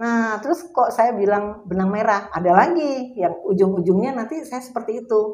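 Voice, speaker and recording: A woman's fairly high voice at a moderate pace. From Jakarta, Indonesia. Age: 60s. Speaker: burial plot sales counselor. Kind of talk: interview. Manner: halting, with fillers.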